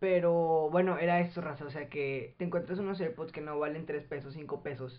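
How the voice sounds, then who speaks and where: This man has an unremarkable speaking voice, pitched fairly high. He talks with hardly any pauses and fairly even intonation. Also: moderate pace. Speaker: podcast co-host, student. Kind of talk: casual chat; storytelling about history.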